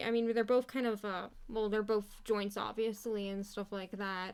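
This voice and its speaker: Speaking with hardly any pauses, a woman holds a flat, monotone delivery at a fairly high pitch in a very clean recording with a silent background. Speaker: animator streamer. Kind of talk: live stream commentary while drawing. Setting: live stream. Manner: casual, filler-heavy.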